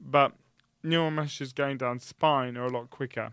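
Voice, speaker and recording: In a very clean recording with a silent background, a man talks at a fairly quick pace in a bright, sharp tone. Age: 20s. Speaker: university student. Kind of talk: casual chat.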